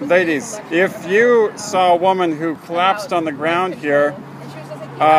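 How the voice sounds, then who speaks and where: Noticeable background noise sits behind a man with a high voice who talks at a fairly slow pace with ordinary pitch variation. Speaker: pro-life activist filming street confrontations. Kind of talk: street confrontation questioning. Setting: outdoors on street outside a clinic. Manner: loud; halting, many fillers.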